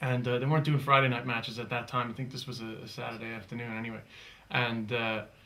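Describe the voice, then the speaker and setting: In an American accent, a man speaks at a very fast pace and medium pitch with a bright, sharp tone, flat monotone intonation and big swings in loudness, his voice carrying audible room echo. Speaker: comedian. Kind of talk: interview.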